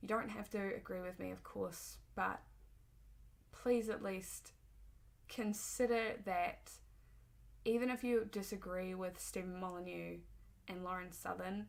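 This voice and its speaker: A woman with a New Zealand accent, fairly slow in pace, with long, frequent pauses. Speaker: political commentator. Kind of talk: opinion monologue. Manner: hesitant, frequent ums.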